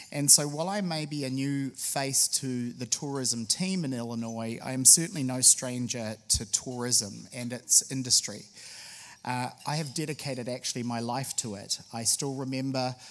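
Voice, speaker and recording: Over a very clean recording with a silent background, a man with a New Zealand accent talks at a moderate pace, medium pitch and ordinary pitch variation. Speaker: state tourism official. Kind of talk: public speech. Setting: luncheon with audience. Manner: frequent filler hesitations.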